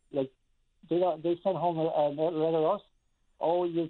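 This man speaks in a Newfoundland accent. His pace is moderate. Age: 50s. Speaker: caller, parent. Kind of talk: phone-in call.

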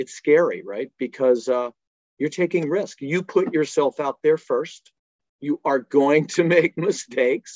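Recorded dry and close with no echo, a man talks at a fairly slow pace in a normal speaking voice. His pitch is fairly high, with ordinary variation. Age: 60s. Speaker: fitness company executive and Marine Corps veteran. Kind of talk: interview. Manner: casual, with many fillers.

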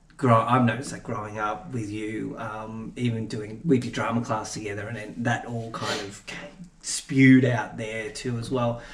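A man at a moderate pace with hardly any pauses, fairly even intonation, big swings in loudness and noticeable background noise. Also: medium pitch for a man. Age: young. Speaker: videographer and filmmaker. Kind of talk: casual chat. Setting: home garage studio.

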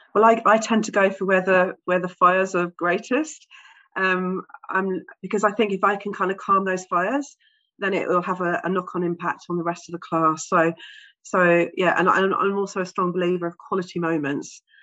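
A woman speaks with an English accent. Her pitch is medium and her intonation fairly even. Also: moderate pace. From England. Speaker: specialist teacher and therapist, author. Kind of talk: interview.

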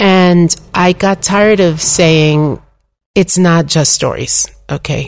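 A woman's fairly low voice at a very slow pace, with fairly even intonation and very even loudness. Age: 60s. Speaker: Torah teacher and author. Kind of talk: interview conversation.

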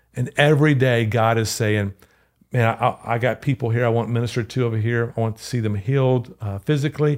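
A man at medium pitch with a Louisiana accent, a fairly quick pace and fairly even intonation, on a very clean recording with a silent background. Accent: Louisiana Southern US. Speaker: pastor. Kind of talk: podcast interview.

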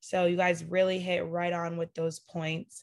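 A woman talks at a moderate pace in a plain, everyday voice, pitched fairly low. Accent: American. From Connecticut. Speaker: student podcast moderator. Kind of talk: moderated panel discussion. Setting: video call.

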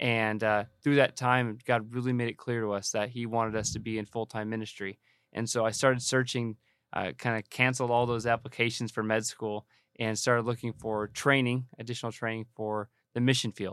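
In a Californian accent, a man talks at a fairly quick pace with a medium pitch and monotone, flat intonation, recorded dry and close with no echo on a very clean recording with a silent background. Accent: Californian American English. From Southern California (Banning, Riverside County). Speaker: missionary. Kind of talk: interview conversation.

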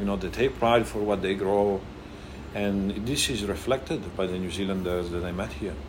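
Audible room echo surrounds a man speaking with a fairly low pitch. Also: ordinary pitch variation, moderate pace. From Italy, Emilia-Romagna. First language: Italian. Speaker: restaurant owner. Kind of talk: casual chat. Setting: restaurant.

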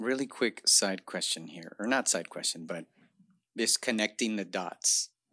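A plain, everyday voice from a man, fairly low in pitch, with ordinary pitch variation and a fairly slow pace. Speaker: podcast host and cultural center manager. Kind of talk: casual interview conversation.

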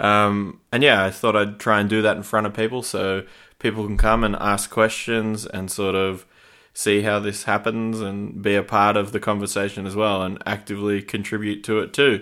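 A man with an Australian accent talks at a moderate pace, his fairly low pitch held in a flat monotone. His tone is bright and sharp, on a very clean recording with a silent background. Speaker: podcast host. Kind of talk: casual interview chat. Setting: recorded at guest's house.

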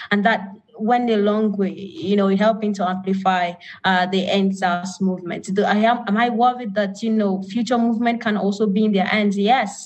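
Somewhat breathy, a woman speaks at a medium pitch and a moderate pace, her loudness very even throughout. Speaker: activist. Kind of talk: panel discussion. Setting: video call.

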